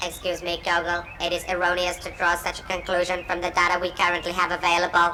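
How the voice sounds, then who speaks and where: In a put-on character voice at middle pitch, someone rattles along at a very fast pace against clear background noise. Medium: fan dub. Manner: formal, precise, emotionless.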